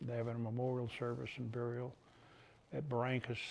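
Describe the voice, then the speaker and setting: Somewhat breathy, a man at a medium pitch talks at a very fast pace. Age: 80s+. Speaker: war veteran. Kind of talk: interview. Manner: halting.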